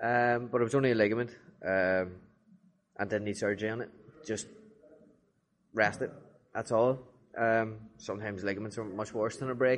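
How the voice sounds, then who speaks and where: A man's medium-pitched voice in an Irish accent, with fairly even intonation. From Ireland. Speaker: professional boxer. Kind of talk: casual interview.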